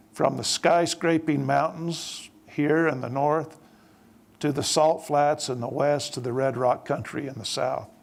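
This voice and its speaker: Speaking at a fairly slow pace with fairly even intonation, this voice has a Utah accent. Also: man, fairly high pitch for a man. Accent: southern Utah. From southern Utah. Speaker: church leader. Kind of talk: panel speech. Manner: formal.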